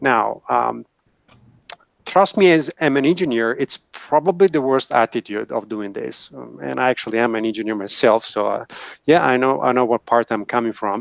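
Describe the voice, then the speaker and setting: A man speaks with an Italian accent at a moderate pace. His intonation is lively, and the background is quiet. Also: medium pitch for a man, dry, close sound with no echo. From Italy. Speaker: engineer, video tech industry panelist. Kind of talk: panel discussion. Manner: hesitant, with fillers.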